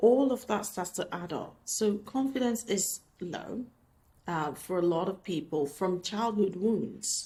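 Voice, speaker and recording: Somewhat breathy woman's voice with a non-native accent, a dark, mellow tone, ordinary pitch variation and a fairly slow pace. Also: medium pitch for a woman. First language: not English. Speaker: life coach vlogger. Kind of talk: casual talk to camera. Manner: conversational, hesitant with restarts.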